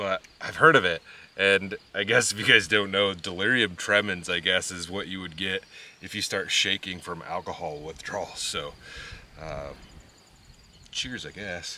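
A man talks at a moderate pace with long, frequent pauses and big swings in loudness. The sound is dry with no echo, over light background noise. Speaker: vlogger. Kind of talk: casual vlog chat. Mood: relaxed, amused. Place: open country. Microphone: camera far.

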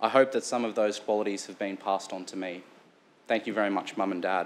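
A man with an Australian accent. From Sunshine Coast, Queensland, Australia; Queensland, Australia. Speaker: local councillor. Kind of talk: formal speech. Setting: council chamber. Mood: earnest, grateful. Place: meeting room.

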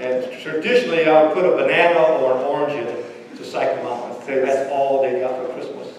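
In strong room echo, a man talks at a fairly quick pace and medium pitch, his tone slightly mellow and his intonation fairly even.

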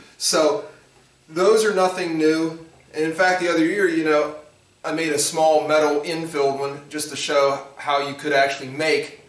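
A man's fairly even intonation carries through audible room echo. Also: moderate pace. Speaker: shop teacher. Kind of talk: lecture to students. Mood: dry humorous. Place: workshop. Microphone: camera far.

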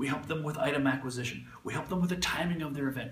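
A man's voice with audible room echo. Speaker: professional auctioneer. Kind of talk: promotional invitation to camera. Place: meeting room. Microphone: phone near.

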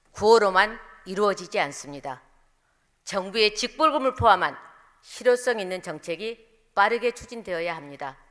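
Against a quiet background, a woman speaks at a moderate pace with very wide pitch swings, big swings in loudness, and long, frequent pauses. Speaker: council member giving speech. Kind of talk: formal political speech. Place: hall. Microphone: podium.

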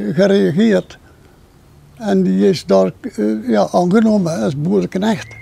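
A man's fairly high voice with very wide pitch swings, a very slow pace and long, frequent pauses, in a dry sound with no echo. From North Brabant, Netherlands (Land van Cuijk area). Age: 90s. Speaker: elderly man celebrating 70th wedding anniversary. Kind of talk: interview at home. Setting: home visit with camera. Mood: calm, thankful. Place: garden.

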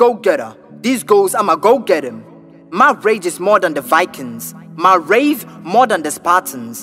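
A raised, projected voice moves through very wide pitch swings. Music plays in the background. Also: man. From Ghana. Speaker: spoken word poet. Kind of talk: spoken word poetry over a beat.

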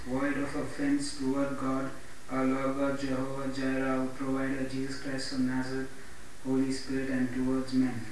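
With light background noise and strong room echo, a man talks at a moderate pace in a fairly high pitch. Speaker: pastor and evangelist. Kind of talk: Bible reading with preaching intro. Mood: earnest devotional. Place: home room.

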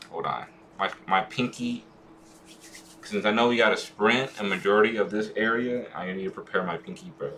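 With noticeable background noise behind him, a man keeps a moderate pace. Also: ordinary pitch variation. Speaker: gaming streamer. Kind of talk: live gameplay stream chat. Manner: quiet, hard to hear; occasional stutter.

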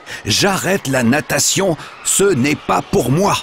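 A man with a fairly high pitch over noticeable background noise. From France. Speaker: voice actor. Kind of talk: children's story reading.

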